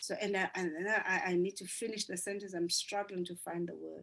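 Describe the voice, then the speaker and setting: This is a woman speaking. She has a South African accent. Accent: South African (Zulu) English. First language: isiZulu. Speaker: business coach. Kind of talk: group coaching session.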